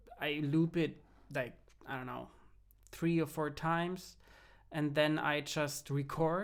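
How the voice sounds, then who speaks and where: A man with a German accent at a fairly slow pace, quiet background. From Germany. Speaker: music producer and film composer. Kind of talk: tutorial. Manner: halting, many fillers and restarts.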